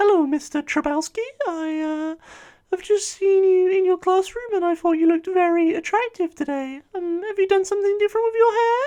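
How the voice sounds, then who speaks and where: Pitched extremely high, a put-on character voice moves at a moderate pace. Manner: flirtatious, hesitant.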